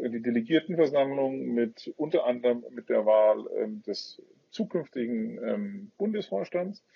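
A man with a Franconian accent talks at a fairly slow pace, his pitch swinging very widely. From Franconia, Bavaria. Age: 30s. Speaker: business executive, association chairman. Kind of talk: interview. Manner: halting, many fillers.

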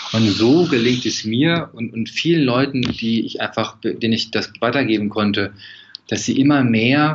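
A man's normal speaking voice, medium in pitch, at a moderate pace with lively intonation. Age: 40s. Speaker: stress and composure coach. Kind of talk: casual interview.

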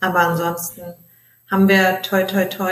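A woman's medium-pitched voice moves at a fairly slow pace, its intonation monotone and flat. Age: 20s. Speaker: travel blogger. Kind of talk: interview.

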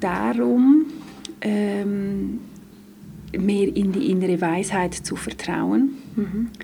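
Very slowly, a woman speaks at a medium pitch. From Switzerland, Graubünden. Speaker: dance therapist. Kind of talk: interview. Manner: hesitant fillers.

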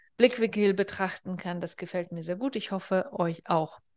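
Over a quiet background, a woman with a normal speaking voice talks at a moderate pace, medium pitch and fairly even intonation. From northern Kazakhstan. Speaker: business therapist and podcast host. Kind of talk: solo podcast monologue. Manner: casual, conversational with fillers.

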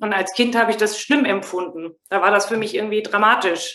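This woman's intonation is fairly even. She speaks at a fairly quick pace. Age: 40s. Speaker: mother and former inner-child training participant. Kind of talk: casual interview.

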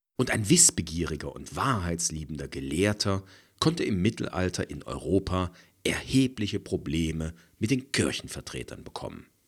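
Very deep and low, a man's voice shows vocal fry at a moderate pace on a very clean recording with a silent background. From East Germany. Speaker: podcast host, conflict coach and audiobook narrator. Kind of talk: solo podcast monologue, scripted.

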